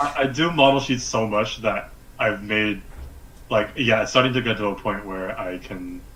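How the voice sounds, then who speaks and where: Audible room echo surrounds the speech, with noticeable background noise underneath. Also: man, fairly low pitch for a man, ordinary pitch variation, moderate pace. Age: young. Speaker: freelance animator. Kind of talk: live-streamed interview. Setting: video call live stream.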